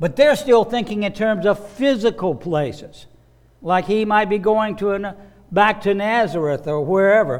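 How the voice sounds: A man talks at a high pitch, and his intonation is lively. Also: fairly slow pace.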